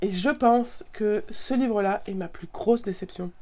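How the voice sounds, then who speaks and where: With a dark, mellow tone, a woman speaks at a very slow pace. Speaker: book youtuber. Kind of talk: casual book review vlog. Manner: halting, many fillers and repetitions.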